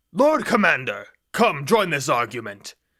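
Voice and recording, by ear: A man's gruff, put-on character voice with very wide pitch swings.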